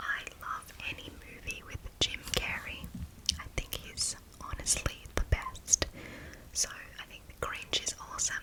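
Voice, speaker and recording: A woman whispers at a fairly slow pace with big swings in loudness. Noticeable background noise runs underneath. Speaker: ASMR creator; marketing associate. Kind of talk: whispered Q&A to camera. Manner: whispered.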